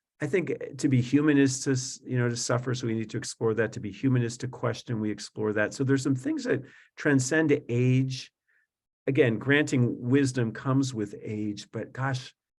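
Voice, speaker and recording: A somewhat breathy man speaks with an American accent. His intonation stays fairly even. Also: medium pitch for a man, moderate pace. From South Florida. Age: 50s. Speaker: Jesuit priest and author. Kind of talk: webinar interview. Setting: video webinar. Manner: hesitant, many fillers.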